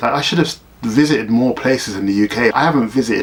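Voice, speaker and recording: A man with a South London accent at a fairly quick pace, against noticeable background noise. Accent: South London, Bermondsey. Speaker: teacher in Japan. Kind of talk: casual talk to camera. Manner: ranting, sarcastic.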